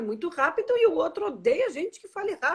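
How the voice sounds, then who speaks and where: Speaking in a Brazilian accent, a woman talks at a moderate pace in an animated tone, her pitch swinging very widely. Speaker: personal development guest. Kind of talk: live-stream conversation. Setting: live video stream.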